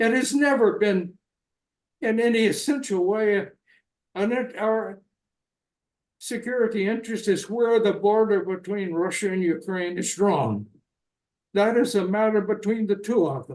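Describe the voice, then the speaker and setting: A man with an American accent and a high pitch, ordinary pitch variation, a fairly slow pace and long, frequent pauses. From US South, North Carolina. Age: 90s. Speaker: retired diplomat. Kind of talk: interview.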